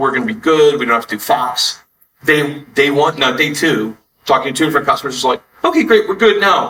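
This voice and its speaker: Speaking in an American accent with an unremarkable speaking voice, a man talks at a fairly quick pace with a fairly high pitch and lively intonation. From Texas. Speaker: entrepreneur. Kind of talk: interview.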